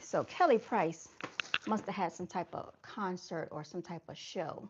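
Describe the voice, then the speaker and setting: Noticeable background noise surrounds a woman speaking at a fairly slow pace and medium pitch. Her pitch variation is ordinary, while her loudness swings widely. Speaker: livestream host. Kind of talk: casual livestream commentary.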